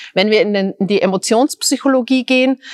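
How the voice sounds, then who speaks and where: A woman talks at a moderate pace in a fairly high pitch with lively intonation. The sound is dry and close, with no echo. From Austria, Styria. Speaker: tech company CEO. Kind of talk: interview.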